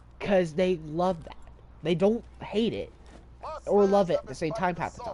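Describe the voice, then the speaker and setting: Amid noticeable background noise, a man with a high voice speaks at a moderate pace with fairly even intonation, long, frequent pauses and big swings in loudness. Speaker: video game streamer. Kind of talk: casual chat during gameplay livestream. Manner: hesitant, many fillers.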